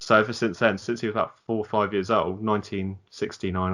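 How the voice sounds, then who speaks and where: A man talks with a Southern English accent. The background is quiet. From southern England. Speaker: football podcast co-host. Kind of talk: casual chat.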